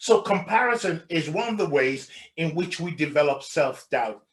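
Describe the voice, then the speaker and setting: A loud man with a high pitch speaks in an animated tone. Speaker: life coach trainer. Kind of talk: workshop presentation.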